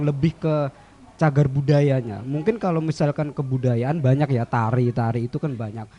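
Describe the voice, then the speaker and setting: A man's fairly high-pitched voice with a dark, mellow tone, ordinary pitch variation and a moderate pace. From Central Java. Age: young. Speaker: young cultural heritage advocate. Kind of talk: radio interview. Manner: soft-spoken.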